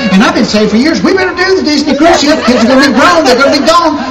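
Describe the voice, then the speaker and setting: Speech at a very fast pace over loud background noise. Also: man. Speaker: stand-up comedian. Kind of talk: stand-up comedy routine. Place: stage.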